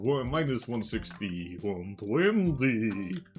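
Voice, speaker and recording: A man uses a put-on character voice at medium pitch. His pace is very slow. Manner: sloppy, self-deprecating attempt.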